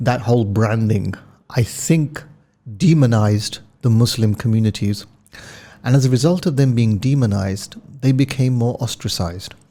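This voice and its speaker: With a London accent, a man talks in a dark, mellow tone that is somewhat breathy, leaving long, frequent pauses. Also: medium pitch for a man, ordinary pitch variation, moderate pace. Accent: British, London. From London, England. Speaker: telecom executive. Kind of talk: podcast interview.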